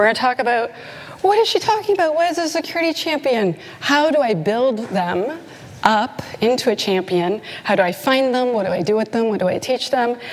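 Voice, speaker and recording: Over noticeable background noise, a woman with a slight Canadian accent talks fairly quickly in a high voice that swings very widely in pitch. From Canada. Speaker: conference speaker, security consultant. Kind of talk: conference talk. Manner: animated.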